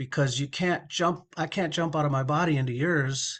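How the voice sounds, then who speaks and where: Over a quiet background, a man with a normal speaking voice talks at a moderate pace, his fairly high pitch held in fairly even intonation. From Minnesota, US. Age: 60s. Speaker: recovery advocate sharing personal story. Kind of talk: interview testimony.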